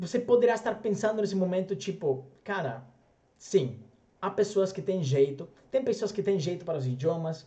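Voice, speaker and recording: A man speaks in a dark, mellow tone with a high pitch. His pace is moderate. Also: lively intonation. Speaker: language coach. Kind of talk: motivational talk to camera. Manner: conversational, rhetorical questions.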